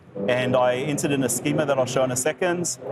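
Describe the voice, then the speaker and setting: Noticeable background noise accompanies a man who speaks at a very fast pace. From New Zealand. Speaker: tech show host, developer. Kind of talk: live stream tech demo. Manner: casual, filler-heavy.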